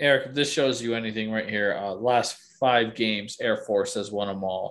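A man with a plain, everyday voice at a medium pitch and a fairly slow pace, in a quiet background. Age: 30s. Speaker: sports podcast co-host. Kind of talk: casual chat.

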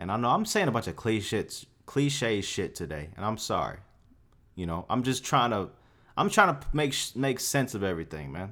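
In a very clean recording with a silent background, a man with a bright, sharp tone and vocal fry speaks at a moderate pace and medium pitch, his voice making very wide pitch swings. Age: 20s. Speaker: podcast host. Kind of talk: casual monologue rant. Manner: animated.

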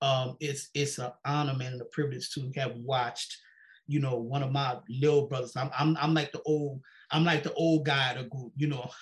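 This man's voice is fairly high-pitched and somewhat breathy. He talks at a moderate pace in a flat monotone. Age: 50s. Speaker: podcast host. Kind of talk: casual chat. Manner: halting.

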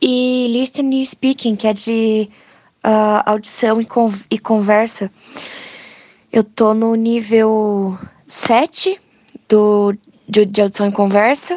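At a very slow pace and a fairly high pitch, a woman speaks with long, frequent pauses. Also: fairly even intonation, dry, close sound with no echo. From Brazil, São Paulo state. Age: young. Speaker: visually impaired student. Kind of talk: interview.

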